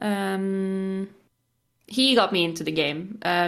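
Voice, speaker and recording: Against a quiet background, someone speaks with a Norwegian accent and ordinary pitch variation. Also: woman. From Norway. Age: 20s. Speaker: gamer and streamer. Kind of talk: casual chat.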